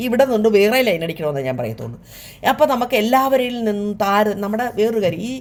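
Here is a woman with a normal speaking voice at medium pitch. Her intonation is lively. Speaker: YouTube vlogger. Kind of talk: casual talk to camera.

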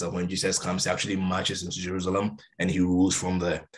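A man speaks fast in a low voice.

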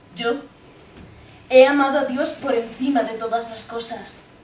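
A woman at a fairly slow pace with fairly even intonation, audible room echo and light background noise. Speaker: stage actress. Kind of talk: theatrical monologue. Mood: intense, passionate. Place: stage. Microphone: camera far.

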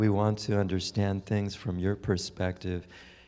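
A man's voice over faint background music. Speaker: guest. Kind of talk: sermon. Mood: light, reassuring, then prayerful. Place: hall. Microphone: handheld.

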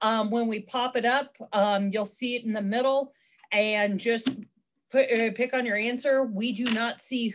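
Fairly high in pitch, a woman speaks with a normal speaking voice and fairly even intonation. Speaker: extension agent. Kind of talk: webinar hosting. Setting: video call.

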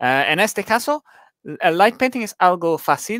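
In a dry recording with no echo and a quiet background, a man with an English accent speaks in a bright, sharp tone with very wide pitch swings. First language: English (speaking Spanish). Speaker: light painting photographer; guest. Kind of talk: photography talk on a live stream. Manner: halting, many hesitations. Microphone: headset.

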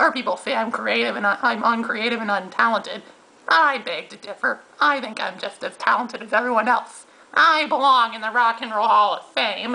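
In a whiny, cartoonish character voice pitched extremely high, a man talks at a fairly quick pace. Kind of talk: comic puppet rant. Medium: puppet show. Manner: boastful, whiny, sneering; fast, ranting.

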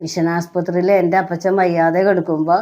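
A woman's dark, mellow voice holds a monotone, flat intonation on a very clean recording with a silent background. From Kerala, Thrissur. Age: 60s. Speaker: film enthusiast, retired canteen cook. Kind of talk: interview testimony.

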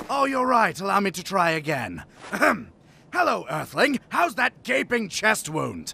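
A man puts on a character voice, pitched high and delivered at a moderate pace. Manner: angry, sarcastic, shouting.

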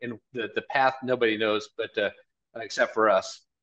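The delivery holds a moderate pace and fairly even intonation. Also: man. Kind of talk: interview answer. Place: office. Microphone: video call.

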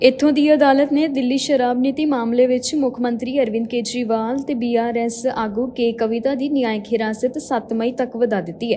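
A woman's high pitch with fairly even intonation, over noticeable background noise. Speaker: news anchor. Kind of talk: formal Punjabi news bulletin reading, headlines then detailed stories. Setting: studio. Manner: brisk, steady newsreader cadence running headlines together; formal, measured delivery of facts and figures.

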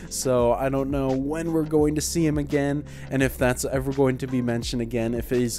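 A man keeps a moderate pace while faint music plays behind him. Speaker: reaction video host. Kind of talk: casual vlog chat. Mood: cheerful, laughing now and then. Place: home room. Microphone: handheld.

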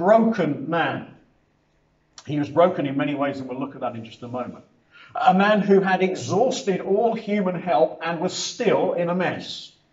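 A man speaks at a moderate pace with big swings in loudness, audible room echo and a quiet background. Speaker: preacher. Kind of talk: sermon. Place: hall. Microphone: camera far.

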